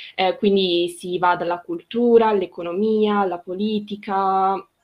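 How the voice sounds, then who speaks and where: Her intonation is monotone and flat. The woman speaks at a medium pitch and a fairly slow pace. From Trentino, northern Italy. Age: 20s. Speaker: communications student, project co-founder. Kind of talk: casual interview.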